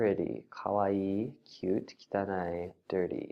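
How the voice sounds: This is a natural reading voice. The words are read naturally.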